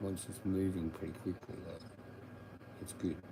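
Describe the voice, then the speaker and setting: A man at a very deep, low pitch, with an Australian accent, ordinary pitch variation and a moderate pace. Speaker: livestreamer. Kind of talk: casual livestream chat. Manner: low, mumbling at times; up and down in volume. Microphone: sometimes too quiet.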